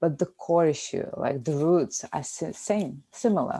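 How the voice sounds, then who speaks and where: In a very clean recording with a silent background, a woman with a non-native accent and a dark, mellow tone speaks at a moderate pace. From Lithuania. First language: Lithuanian. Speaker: podcast co-host. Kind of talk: casual chat.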